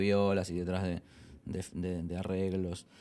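The man's voice sits at a fairly low pitch. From Argentina, Buenos Aires. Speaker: rock band singer and lyricist. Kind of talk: casual interview. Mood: relaxed, reflective. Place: office. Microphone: handheld.

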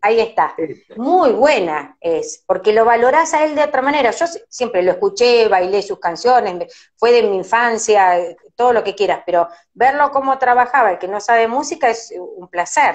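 A woman with an Argentine accent talks at a moderate pace in a fairly high voice. Her pitch swings very widely, against a quiet background. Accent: Rioplatense Argentine Spanish. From Argentina. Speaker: radio host doing a live stream interview. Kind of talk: casual live-stream interview chat. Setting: live video stream from her office. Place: home room. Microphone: phone near.

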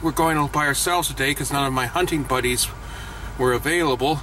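Noticeable background noise surrounds a man whose voice sounds dry with no echo. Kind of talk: casual vlog chat. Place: car. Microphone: phone near.

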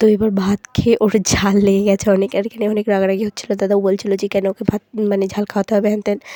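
A woman's medium-pitched voice, dark and mellow in tone, with monotone, flat intonation and a dry, close sound with no echo. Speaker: family vlogger. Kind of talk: vlog narration. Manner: casual, chatty.

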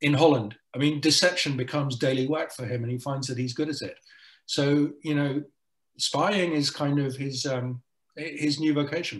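At a moderate pace, a man speaks in a fairly high pitch with fairly even intonation and a somewhat breathy quality. The background is quiet. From South Africa and the Netherlands. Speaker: journalist and author; journalist. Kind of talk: interview on panel. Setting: video call. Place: home room. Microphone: webcam.

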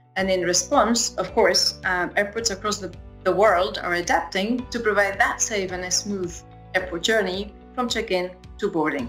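A woman at a moderate pace with ordinary pitch variation, faint music in the background. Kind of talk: prepared congratulatory address. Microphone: webcam.

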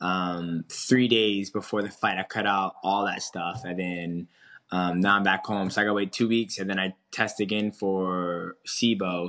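Against a quiet background, a man with a fairly low pitch and a bright, sharp tone talks at a fairly slow pace in a monotone, flat intonation. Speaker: remote interview guest. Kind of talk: interview answer. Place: home room. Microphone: video call.

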